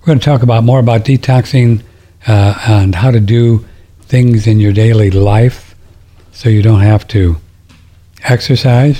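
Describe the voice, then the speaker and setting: A somewhat breathy voice with a dark, mellow tone proceeds at a fairly slow pace with fairly even intonation, very even loudness and long, frequent pauses. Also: man, medium pitch for a man. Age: 70s. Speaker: alternative health radio host. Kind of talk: call-in radio show monologue. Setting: studio broadcast streamed on audio and video. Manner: casual, rambling with fillers.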